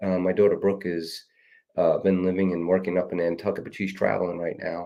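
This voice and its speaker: Speaking with a New York accent, a man has a very deep, low pitch. His pace is fairly quick and his intonation monotone and flat. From New York City (Queens). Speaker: running coach. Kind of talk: casual chat.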